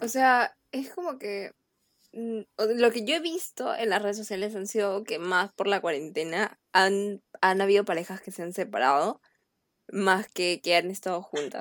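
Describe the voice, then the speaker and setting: A woman at a medium pitch speaks at a fairly slow pace with lively intonation and big swings in loudness. The sound is dry and close, with no echo. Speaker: university student. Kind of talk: casual chat.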